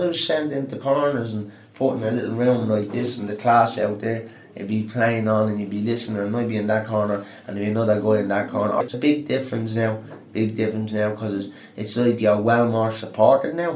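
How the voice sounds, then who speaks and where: A man with a Dublin accent speaks very fast at a medium pitch, keeping his intonation fairly even. Audible room echo and noticeable background noise come through. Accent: Dublin Irish. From Dublin, Ireland. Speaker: adult education student. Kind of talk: interview.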